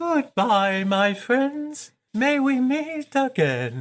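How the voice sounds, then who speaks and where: A female-sounding, put-on character voice, high in pitch, speaks at a very slow pace on a very clean recording with a silent background. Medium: audio drama.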